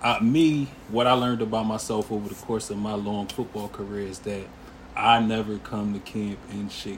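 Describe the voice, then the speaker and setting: A man with an American accent has an unremarkable speaking voice at a fairly low pitch. He keeps a moderate pace and fairly even intonation. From Harrisburg, Pennsylvania, US. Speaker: former pro football player. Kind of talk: casual interview.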